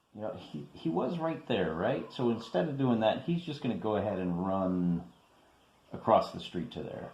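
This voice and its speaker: A man's voice with very wide pitch swings comes through audible room echo and noticeable background noise. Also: medium pitch for a man, moderate pace. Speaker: wargaming video host. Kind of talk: tabletop game playthrough commentary. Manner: casual, conversational.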